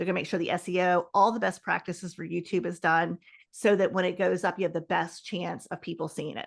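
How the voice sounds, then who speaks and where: In a quiet background, a woman with a fairly low pitch and vocal fry speaks very fast in a monotone, flat delivery. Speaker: video marketing expert. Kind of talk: interview.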